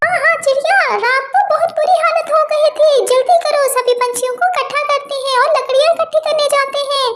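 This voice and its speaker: A woman does a cartoonish character voice at an extremely high pitch. She keeps a moderate pace with hardly any pauses. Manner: friendly, reassuring.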